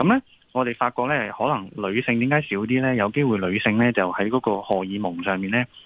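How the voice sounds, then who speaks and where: A man's fairly low voice in a Hong Kong accent, at a moderate pace, with ordinary pitch variation. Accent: Hong Kong Cantonese. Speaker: ENT doctor. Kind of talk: radio interview, health advice.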